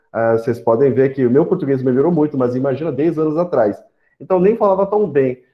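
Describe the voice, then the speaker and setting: A man talks at a fairly quick pace. His voice sits fairly high, with lively intonation. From São Paulo, Brazil (arrived age 10 after Korea and Paraguay). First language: Korean (speaking Portuguese). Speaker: startup panelist, fintech professional. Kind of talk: panel talk. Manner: halting, many fillers.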